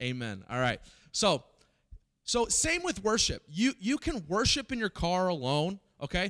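With an American accent, a man speaks at a fairly slow pace in a high pitch with very wide pitch swings, recorded very clean over a silent background in a dry, close sound with no echo. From US Midwest (Springfield, Missouri). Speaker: pastor. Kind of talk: sermon. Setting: church with live audience. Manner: animated; halting, many repeated words.

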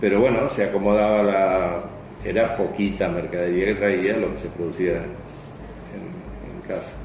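A man with a Rioplatense accent talks at a fairly slow pace and a fairly low pitch with fairly even intonation, amid audible room echo and noticeable background noise. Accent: Argentine Spanish (rioplatense). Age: 70s. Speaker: club member. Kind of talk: interview. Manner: halting, many repetitions.

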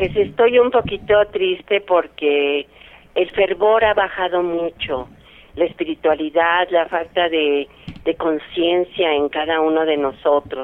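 A woman speaks at a very slow pace. Her pitch is fairly low, with ordinary pitch variation. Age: 70s. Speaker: caller, donor. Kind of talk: testimony.

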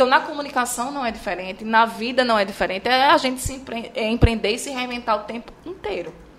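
A high-pitched woman at a fairly quick pace, ordinary pitch variation and big swings in loudness, over noticeable background noise. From Bahia, Brazil (Chapada Diamantina), raised in Maceió. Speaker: journalist and TV presenter. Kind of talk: casual interview chat.

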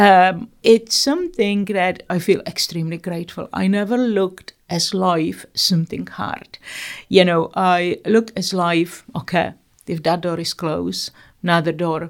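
A woman's fairly low voice with a Czech accent, at a fairly slow pace. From Czechoslovakia. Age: 60s. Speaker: eating disorder therapist. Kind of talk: interview.

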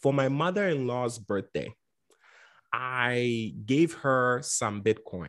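A man speaks very slowly at a medium pitch with lively intonation. The recording is very clean, with a silent background. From Ghana. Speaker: investing educator. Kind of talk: interview.

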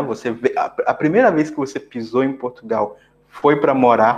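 A man at a fairly slow pace, fairly high in pitch, with very wide pitch swings. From Brazil. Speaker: podcast host, software developer. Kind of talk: interview conversation.

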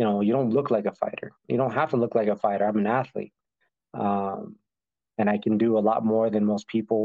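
A man with a normal speaking voice talks at fairly low pitch with very even loudness. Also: fairly even intonation. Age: 30s. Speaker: professional MMA fighter. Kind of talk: interview. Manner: casual, lots of fillers.

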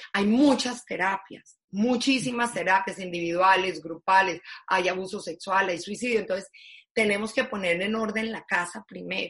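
Pitch rises and falls in an ordinary way. The delivery holds a moderate pace. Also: woman, medium pitch for a woman. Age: 50s. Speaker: foundation founder, social entrepreneur. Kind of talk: interview conversation.

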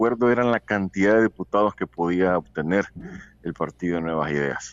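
Fairly quick in pace, the speech carries lively intonation. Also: man. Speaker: journalist. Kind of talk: interview. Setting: phone call.

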